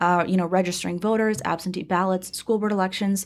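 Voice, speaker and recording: A woman with an American accent, medium pitch and a very fast pace. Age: 20s. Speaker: political party executive director. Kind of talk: interview. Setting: studio.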